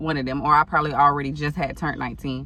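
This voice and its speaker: Audible room echo surrounds a woman speaking at a very deep, low pitch. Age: 30s. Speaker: storytime vlogger. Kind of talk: casual storytelling. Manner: animated.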